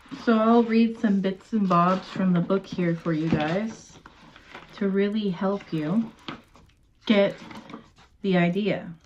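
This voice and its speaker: Soft-spoken and very slow, a woman at medium pitch uses fairly even intonation and long, frequent pauses over noticeable background noise. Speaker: ASMR creator. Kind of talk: ASMR talk to camera.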